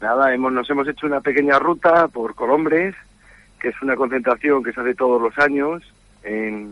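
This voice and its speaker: A man with an unremarkable speaking voice talks at a fairly quick pace in a fairly high pitch. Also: dry, close sound with no echo. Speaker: classic motorcycle enthusiast. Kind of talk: phone interview. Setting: phone call. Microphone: faint, distant line.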